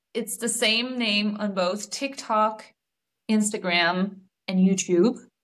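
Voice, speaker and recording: Very slow speech in a Danish accent. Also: woman, long, frequent pauses. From Denmark. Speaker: relationship coach. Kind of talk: casual interview chat.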